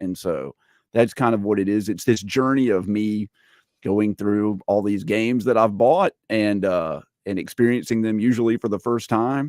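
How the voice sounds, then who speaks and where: A man speaks at a moderate pace in a fairly low pitch, with ordinary pitch variation and a plain, everyday voice. The sound is dry and close, with no echo. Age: 40s. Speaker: gaming YouTuber. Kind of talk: casual chat.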